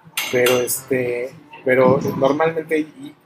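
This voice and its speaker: Music plays in the background. A man is speaking. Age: 40s. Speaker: entrepreneur in construction and art. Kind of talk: interview.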